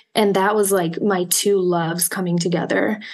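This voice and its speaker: A woman talks at a medium pitch in a monotone, flat intonation over noticeable background noise. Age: 30s. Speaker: psychology doctoral student and oracle deck creator. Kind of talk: interview. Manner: hesitant, many filler words.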